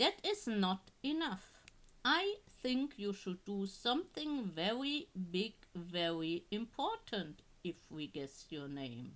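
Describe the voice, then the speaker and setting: Putting on a character voice, a woman at medium pitch speaks at a fairly slow pace with very wide pitch swings. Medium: read story. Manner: sly, self-assured.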